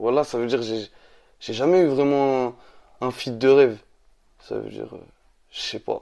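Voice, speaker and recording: A dark, mellow tone at a moderate pace, with fairly even intonation and long, frequent pauses. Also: man, medium pitch for a man. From France. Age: 20s. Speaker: rapper. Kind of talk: interview. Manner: halting.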